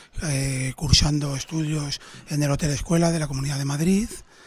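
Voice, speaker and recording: Over noticeable background noise, the speaker talks at a fairly slow pace with fairly even intonation. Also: man. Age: 30s. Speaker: restaurant owner. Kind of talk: interview.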